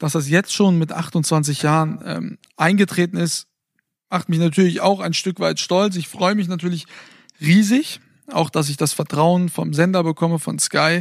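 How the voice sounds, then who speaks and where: Speaking at a fairly slow pace, this man has a high pitch and fairly even intonation, captured with a dry, close sound with no echo on a very clean recording over a silent background. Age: 20s. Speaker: sports TV presenter and podcast co-host. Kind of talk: casual chat. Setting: recording in bed at home.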